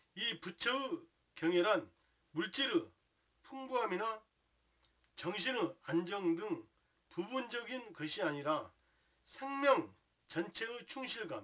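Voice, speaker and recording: A man talks in a high, raised and projected voice with very wide pitch swings. His pace is very slow, with long, frequent pauses. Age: 60s. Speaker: Buddhist lay teacher. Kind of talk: religious talk. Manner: formal; halting, many fillers.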